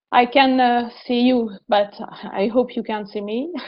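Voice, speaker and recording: A woman with a French accent, a fairly high pitch, and a very slow pace. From France. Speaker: investment professional. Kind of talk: workshop presentation. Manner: halting.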